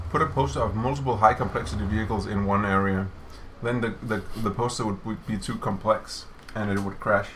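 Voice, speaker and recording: Over noticeable background noise, a man with a fairly low voice talks at a fairly quick pace with ordinary pitch variation. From Denmark. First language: Danish. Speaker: game developer streamer. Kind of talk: casual chat. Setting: office livestream.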